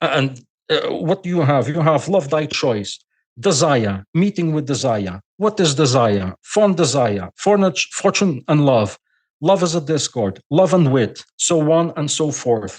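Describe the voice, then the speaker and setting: At a fairly slow pace, a man with a fairly high pitch swings his voice very widely, recorded dry and close with no echo. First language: Portuguese. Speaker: scholar guest. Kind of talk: podcast interview lecture. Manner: halting.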